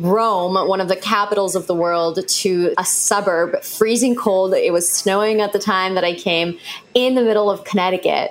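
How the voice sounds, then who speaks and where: A woman speaks at a moderate pace and medium pitch with fairly even intonation. Noticeable background noise can be heard. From Europe. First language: not English. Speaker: traveler. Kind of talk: personal storytelling.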